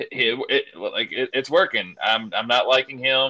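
In a Kentucky accent, a man speaks at a medium pitch with a bright, sharp tone. The sound is dry and close, with no echo. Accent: Kentucky Southern US. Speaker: wrestling fan award winner. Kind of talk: casual chat.

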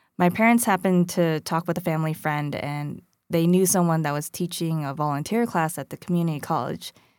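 On a very clean recording with a silent background, a woman in a normal speaking voice talks at a fairly quick pace with hardly any pauses, a fairly low pitch, and ordinary pitch variation. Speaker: podcast host. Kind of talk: scripted narration and interview.

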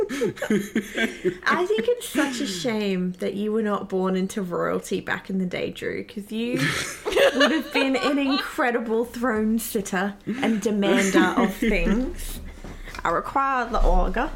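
Through noticeable background noise, a woman with an Australian accent speaks very slowly in a fairly high voice with ordinary pitch variation. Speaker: podcast co-host. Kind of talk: casual chat.

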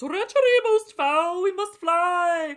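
At a fairly slow pace, someone puts on a character voice pitched extremely high. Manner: archaic, dramatic.

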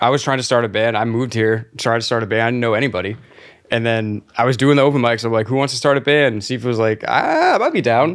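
A man with a medium-pitched voice talks at a very fast pace, keeping his intonation fairly even and his loudness very even. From Florida. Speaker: podcast host and band musician. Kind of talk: casual chat. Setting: studio.

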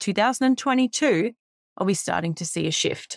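An Australian-accented woman's voice, very cleanly recorded against total silence. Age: 30s. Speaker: podcast host, teacher. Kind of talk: solo reflective podcast monologue.

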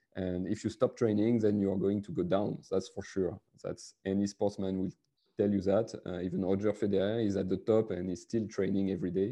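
A man's fairly low, dark, mellow voice in a French accent, at a moderate pace with fairly even intonation. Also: quiet background. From France. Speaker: sales leader. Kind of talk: interview. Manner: halting.

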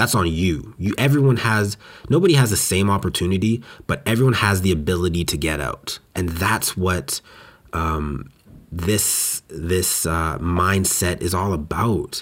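Speaking at a fairly slow pace, a man with a Western Canadian accent has a very deep, low pitch and ordinary pitch variation. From Western Canada. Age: 20s. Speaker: podcast host. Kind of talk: solo monologue. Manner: animated.

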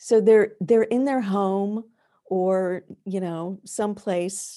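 Over a quiet background, a woman with an American accent speaks in a dark, mellow tone at a medium pitch. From US South. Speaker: past life regression therapist and professor. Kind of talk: interview. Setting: video call.

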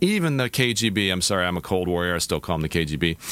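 The tone is bright and sharp. The pace is very fast. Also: man. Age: old. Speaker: cybersecurity policy institute director. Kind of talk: interview. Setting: studio.

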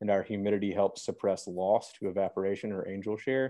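With an American accent, a man talks at a fairly quick pace in a normal speaking voice with a fairly low pitch. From Memphis, Tennessee (US South). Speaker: distillery executive and attorney. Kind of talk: podcast interview.

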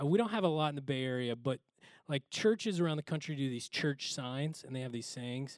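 Lively intonation and an animated tone come from a man at a fairly high pitch and fairly quick pace. The sound is dry and close with no echo, on a very clean recording with a silent background. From Oklahoma. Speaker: pastor. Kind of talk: sermon. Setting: church.

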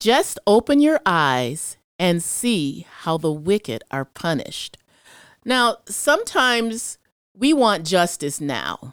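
Over a silent background in a very clean recording, a woman with an American accent and a medium pitch speaks at a very slow pace, her pitch swinging very widely in a dry, close sound with no echo. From US Midwest, Chicago. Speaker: church member. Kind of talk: casual Bible discussion.

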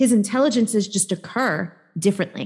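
A woman speaks with a New York accent. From New York, Staten Island. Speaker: embodiment coach and healer. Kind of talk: casual interview conversation.

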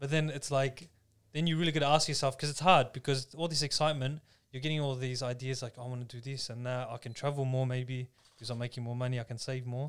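Delivered at a very fast pace, this voice speaks with an Australian accent in a monotone, flat intonation. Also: man. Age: 20s. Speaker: podcast co-host. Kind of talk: casual chat.

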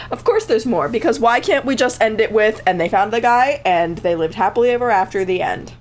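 Over background music, a woman with an American accent talks very fast with hardly any pauses, using lively intonation at a fairly high pitch. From Connecticut. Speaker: podcast co-host. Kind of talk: casual chat.

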